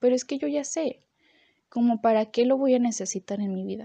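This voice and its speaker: A woman speaks with a high pitch. The sound is dry and close with no echo, and the background is quiet. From Mexico, Guadalajara, Jalisco. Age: 20s. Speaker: university student sharing faith testimony. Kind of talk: testimony.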